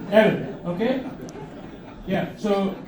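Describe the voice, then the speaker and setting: A man with an Indian accent speaks in a high pitch with fairly even intonation, amid audible room echo and noticeable background noise. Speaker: comedian. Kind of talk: stand-up. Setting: stage with audience. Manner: halting, many fillers and restarts.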